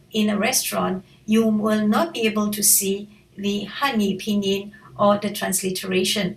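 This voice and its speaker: A woman speaks at a medium pitch with ordinary pitch variation and a Malaysian accent. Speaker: language teacher. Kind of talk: tutorial.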